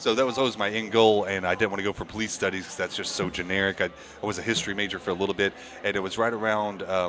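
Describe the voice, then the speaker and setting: With music in the background, a man with an American accent talks at a very fast pace in a fairly low voice with monotone, flat intonation. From Indiana. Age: 30s. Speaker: bar owner. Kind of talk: casual interview chat.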